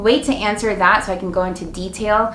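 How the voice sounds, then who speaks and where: Music plays in the background as a woman speaks with fairly even intonation and audible room echo. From Arizona, US (Mexican-American family). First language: Spanish. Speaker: weight loss vlogger. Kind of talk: Q&A vlog. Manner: casual, filler-heavy.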